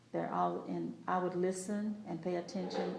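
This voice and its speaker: A woman with an American accent speaks at a moderate pace in a fairly low, monotone, flat voice, with audible room echo and noticeable background noise. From Texas, Lamar County. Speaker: oral history interviewee. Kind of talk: oral history interview. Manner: halting.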